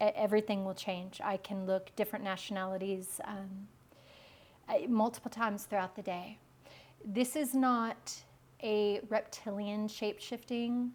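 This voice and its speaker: Speaking at a moderate pace with an American accent, a woman uses a fairly high, somewhat breathy voice and fairly even intonation. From US South, Memphis. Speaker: spiritual speaker. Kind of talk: interview. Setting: filmed studio interview. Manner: halting.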